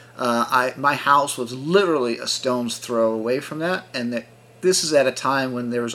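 Speaking at a moderate pace and medium pitch, a man with a plain, everyday voice shows ordinary pitch variation. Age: 50s. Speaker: multi-sport athlete and yoga coach. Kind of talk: interview.

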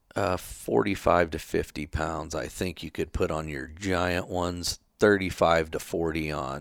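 A man speaks at a fairly slow pace in a very deep, low pitch with vocal fry and fairly even intonation. The recording is very clean, with a silent background. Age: 40s. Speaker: goat packer and hunter. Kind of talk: casual chat.

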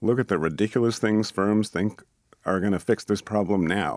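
An ordinary speaking voice from a man with an American accent, fairly low in pitch with ordinary pitch variation, in a very clean recording with a silent background. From Boston area, US. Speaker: sociology professor. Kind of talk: interview.

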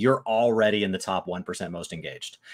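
On a very clean recording with a silent background, a man with a normal speaking voice talks at a fairly quick pace in a fairly low pitch. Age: 20s. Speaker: gaming podcast co-host. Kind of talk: casual chat. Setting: live stream.

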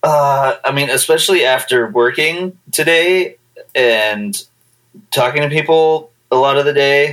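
In a normal speaking voice, the speaker goes at a fairly slow pace with ordinary pitch variation and very even loudness. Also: man, fairly high pitch for a man. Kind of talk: casual chat.

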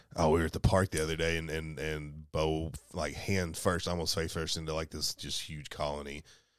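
The speaker has a Southern US accent and a moderate pace. The recording is very clean, with a silent background. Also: man. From Kentucky. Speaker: podcast co-host. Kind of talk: casual chat. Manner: animated.

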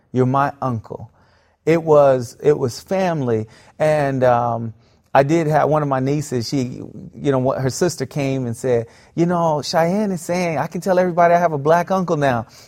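In a very clean recording with a silent background, a man with an American accent and an unremarkable speaking voice talks at a moderate pace, fairly high in pitch with ordinary pitch variation. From US South, South Florida. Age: 30s. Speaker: pastor. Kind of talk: interview storytelling.

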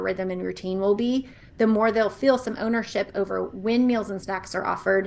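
Fairly quick in pace, this is an unremarkable speaking voice. The recording is very clean and the background is silent. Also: woman. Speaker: nutrition podcaster, mom. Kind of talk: interview chat.

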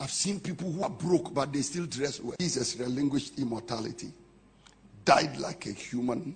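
A man in a Ghanaian accent speaks at a moderate pace with long, frequent pauses, his voice somewhat breathy and fairly high-pitched with ordinary pitch variation, and room echo can be heard. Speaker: pastor. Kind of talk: impassioned Pentecostal sermon expounding scripture on humility. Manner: emphatic, declamatory preaching cadence; rhetorical, building points with punchy short sentences.

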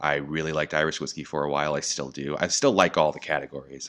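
With an American accent and a very deep, low pitch, a man speaks over noticeable background noise. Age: 30s. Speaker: spirits brand educator. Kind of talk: casual interview.

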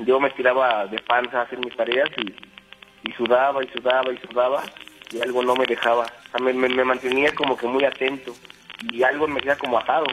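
Over noticeable background noise, a man with a central Mexican accent speaks at a fairly quick pace, his medium-pitched voice monotone and flat. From Mexico City (Iztapalapa), raised in Querétaro. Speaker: radio caller. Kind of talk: personal story told on call-in radio. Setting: phone call.

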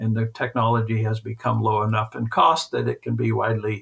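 A man with a Midwestern US accent at a fairly quick pace. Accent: US Midwest. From central Kansas. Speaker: retired dairy magazine editor. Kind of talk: interview.

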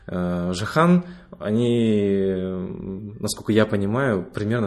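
A man's ordinary speaking voice, fairly low in pitch with fairly even intonation, over a quiet background. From Kazakhstan, Ust-Kamenogorsk. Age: 30s. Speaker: teacher and science editor. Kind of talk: interview conversation.

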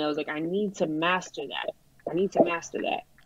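A woman with a Brooklyn accent speaks in a fairly low pitch with fairly even intonation. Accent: Brooklyn New York. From Brooklyn, New York (Brighton Beach). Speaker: rapper. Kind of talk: casual chat. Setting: remote call over phone hotspot. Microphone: mobile hotspot connection.

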